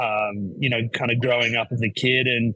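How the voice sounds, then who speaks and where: At a moderate pace, the voice continues while music plays behind it. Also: man. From Australia. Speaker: golf instructor. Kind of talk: podcast interview. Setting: golf simulator venue in New York City.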